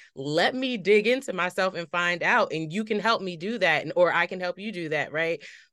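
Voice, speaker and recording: With an American accent, a woman at medium pitch speaks in a bright, sharp tone at a moderate pace, with ordinary pitch variation and hardly any pauses. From Paterson, New Jersey. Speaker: podcast host. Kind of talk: interview conversation.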